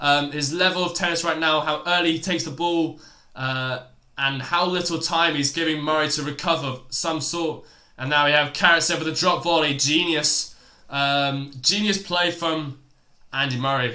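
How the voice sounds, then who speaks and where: A man's fairly high pitch with a bright, sharp tone, fairly even intonation, moderate pace and audible room echo. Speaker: tennis live stream commentator. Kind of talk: live commentary. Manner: halting.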